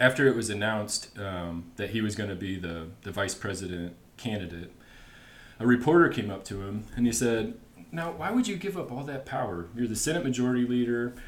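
This man has a normal speaking voice at a medium pitch, talking at a fairly quick pace with lively intonation. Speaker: guest explaining history. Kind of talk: casual chat.

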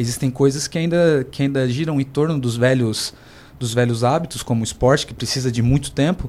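A man's dark, mellow tone at a moderate pace. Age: 20s. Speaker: professional swimmer. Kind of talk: radio panel discussion.

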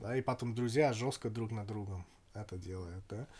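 A man talks at a moderate pace. His pitch is medium, with a slight English accent. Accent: slight English accent in Russian. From England. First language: English (speaking Russian). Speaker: podcast guest, former expat in Kazakhstan. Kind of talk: casual chat.

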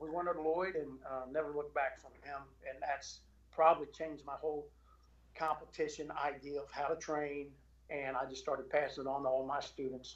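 In a Southern US accent, the words come out at a fairly quick clip. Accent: US South. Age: 40s. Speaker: jiu-jitsu instructor. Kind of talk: casual chat. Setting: home garage.

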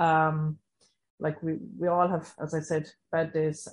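Monotone, flat intonation marks this voice with an Irish accent, set against a quiet background. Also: woman. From Ireland. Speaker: recovery education facilitator. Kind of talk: panel discussion.

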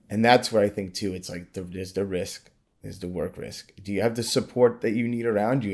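A man speaks in a normal speaking voice, fairly low in pitch, with fairly even intonation at a moderate pace. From Brooklyn, New York. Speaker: accountant. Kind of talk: casual interview.

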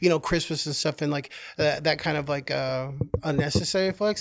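Talking very fast with an American accent, a man uses a fairly high pitch and ordinary pitch variation. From Oklahoma. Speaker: podcast guest, retail manager and artist. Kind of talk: casual chat.

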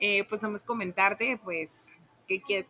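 Amid noticeable background noise, a woman talks at a moderate pace and medium pitch with ordinary pitch variation. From Tabasco, Mexico. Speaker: sales coordinator. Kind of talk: casual interview.

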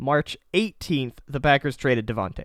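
Recorded with a dry, close sound and no echo, a man with an unremarkable speaking voice talks at a fairly high pitch with ordinary pitch variation. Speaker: podcast co-host. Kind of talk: casual chat.

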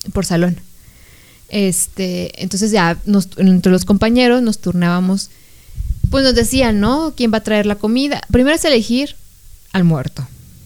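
A woman speaks at a fairly slow pace and medium pitch with lively intonation, leaving long, frequent pauses. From Mexico, outside Jalisco. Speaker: podcast co-host. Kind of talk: casual chat.

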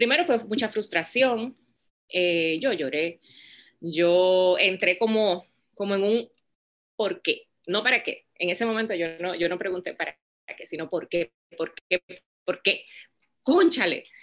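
A woman speaks at a fairly slow pace with long, frequent pauses. Her pitch is medium, with ordinary variation. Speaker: business founder. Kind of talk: interview.

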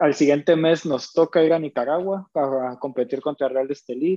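Here is a man with an ordinary speaking voice. He speaks at a moderate pace, fairly high in pitch, with fairly even intonation. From northern Mexico (Monterrey). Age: 20s. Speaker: professional basketball player. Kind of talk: casual interview.

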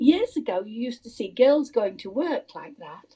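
With an English accent, a woman's high-pitched voice carries a dark, mellow tone and very wide pitch swings. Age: 90s. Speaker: interviewee, podcast host's mother-in-law. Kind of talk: casual chat.

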